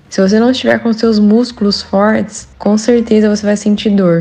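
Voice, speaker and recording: A woman talks with a fairly high pitch. Noticeable background noise runs behind her. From Brazil, Andradina, São Paulo interior. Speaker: running coach. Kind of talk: interview, giving running tips.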